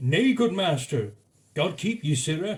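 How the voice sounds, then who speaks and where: A man does a shaky put-on character voice at a fairly high pitch, with very wide pitch swings and a fairly slow pace. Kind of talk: comic mock-medieval speech. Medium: solo performance. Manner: quavering, terrified.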